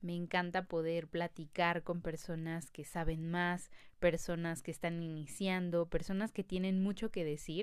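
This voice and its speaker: With a Mexican accent, a woman speaks at a very slow pace in a fairly low pitch, on a very clean recording with a silent background. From Mexico City. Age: 20s. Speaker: podcast host. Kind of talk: casual monologue.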